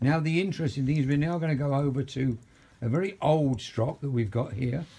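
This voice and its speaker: A man's fairly high-pitched, somewhat breathy voice with a dark, mellow tone, a fairly quick pace, and ordinary pitch variation. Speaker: barber. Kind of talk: demonstration narration.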